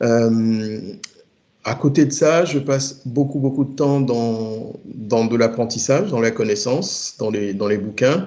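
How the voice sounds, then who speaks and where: A man speaks at a very slow pace with a medium pitch. His dark, mellow tone shows ordinary pitch variation. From Togo. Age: 50s. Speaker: IT project manager. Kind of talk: interview. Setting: remote work from home. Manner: halting.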